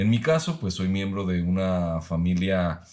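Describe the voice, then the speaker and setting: A man's very deep, low pitch with fairly even intonation. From Mexico, Guadalajara, Jalisco. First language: Mexican Sign Language (speaking Spanish). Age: 30s. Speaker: professor. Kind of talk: podcast conversation.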